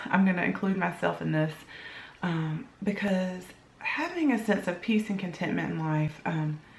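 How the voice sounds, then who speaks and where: A quiet woman at a moderate pace with ordinary pitch variation, audible room echo, and noticeable background noise. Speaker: blogger. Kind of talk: casual vlog talk. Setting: home kitchen. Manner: talking low, quiet.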